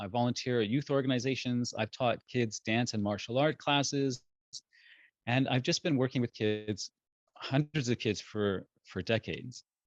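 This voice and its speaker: In a dry, close recording with no echo, a man speaks at medium pitch and a moderate pace, his intonation fairly even. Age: 50s. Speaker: parenting educator. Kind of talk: talk. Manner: halting.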